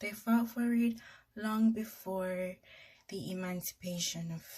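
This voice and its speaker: Very slow and somewhat breathy, a woman speaks with long, frequent pauses, big swings in loudness and ordinary pitch variation. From Jamaica. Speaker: YouTuber. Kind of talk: casual storytelling vlog. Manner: conversational, informal.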